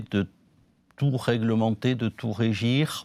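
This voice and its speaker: In a southern French accent, a man speaks at a very slow pace and medium pitch, the sound dry and close with no echo. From southern France. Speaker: law professor. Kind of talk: panel discussion. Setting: conference, partly remote audience.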